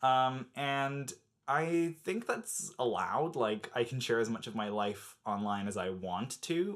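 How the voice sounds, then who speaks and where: The speaker has an American accent, a fairly slow pace, and very wide pitch swings. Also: man, medium pitch for a man. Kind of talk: casual talk to camera.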